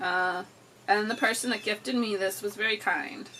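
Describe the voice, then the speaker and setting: A woman with a fairly high voice talks at a fairly slow pace. Her pitch varies in an ordinary way over noticeable background noise. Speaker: book video creator. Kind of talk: casual book haul chat. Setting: indoors by an open window. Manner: animated.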